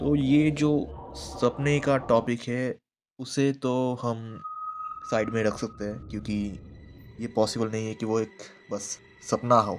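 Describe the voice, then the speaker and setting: Music plays in the background as a man talks at a medium pitch with ordinary pitch variation. He takes long, frequent pauses. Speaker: YouTube horror storyteller. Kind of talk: storytelling.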